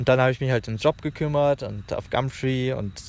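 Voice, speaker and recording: The man rushes along at a very fast pace, his intonation fairly even. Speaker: travel podcaster. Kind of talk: casual monologue. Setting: outdoors in a park. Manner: halting.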